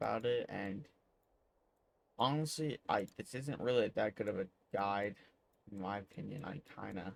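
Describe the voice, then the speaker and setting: Quiet and fairly low-pitched, a man speaks at a moderate pace with ordinary pitch variation and long, frequent pauses. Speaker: gaming youtuber. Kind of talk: tutorial.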